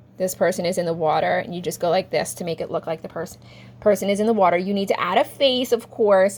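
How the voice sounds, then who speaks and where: This woman has a plain, everyday voice at a medium pitch. She moves at a fairly quick pace with ordinary pitch variation. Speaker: art teacher. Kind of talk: tutorial.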